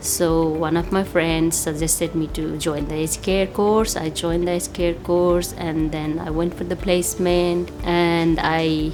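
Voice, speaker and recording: A woman speaks at a fairly slow pace with a fairly low pitch. Music plays in the background. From Nepal. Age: 30s. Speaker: aged care worker. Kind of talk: interview testimony.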